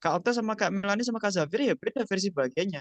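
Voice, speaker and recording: Very fast speech with a slight Javanese accent. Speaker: speaker at a mental health webinar. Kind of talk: online seminar talk. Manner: conversational with frequent fillers.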